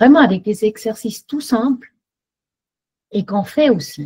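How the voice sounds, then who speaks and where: A dark, mellow tone carries the voice. There's a slight breathiness to it. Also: woman. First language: German (speaking French). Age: 60s. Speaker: workshop participant giving testimony. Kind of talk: testimony. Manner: halting.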